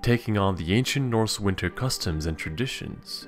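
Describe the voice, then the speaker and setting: Music plays in the background as a man talks with very wide pitch swings. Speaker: mythology video narrator. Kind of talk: educational narration to camera.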